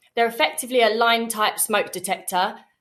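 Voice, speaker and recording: With a British accent, a woman speaks at a fairly high pitch. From UK. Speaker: sales representative. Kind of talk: webinar product presentation. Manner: fast.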